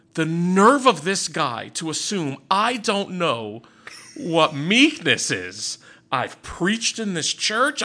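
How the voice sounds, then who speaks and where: Speaking very slowly in a raised, projected voice, a man lets his pitch swing very widely. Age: 30s. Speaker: podcast co-host. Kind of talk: casual chat.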